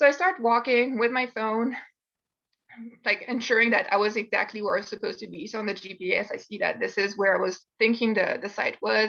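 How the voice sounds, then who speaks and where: A French accent, big swings in loudness and a fairly quick pace. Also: woman. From France. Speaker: university student. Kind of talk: presentation. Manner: casual storytelling.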